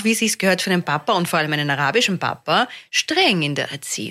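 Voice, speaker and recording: Her tone bright and sharp, a woman speaks with very wide pitch swings on a very clean recording with a silent background. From Austria. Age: 50s. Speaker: comedian. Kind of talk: casual chat.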